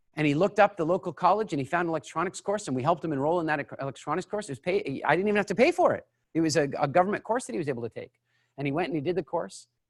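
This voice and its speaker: This man talks at a very fast pace with a Canadian accent. His pitch is high, with ordinary variation. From Canada, Halifax Nova Scotia. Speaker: business coach. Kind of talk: online seminar Q&A. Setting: live online broadcast. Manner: animated storytelling.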